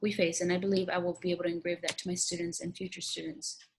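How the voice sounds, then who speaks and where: A woman's fairly low voice at a very fast pace. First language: Spanish. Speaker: teacher. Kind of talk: recorded application interview monologue. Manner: halting.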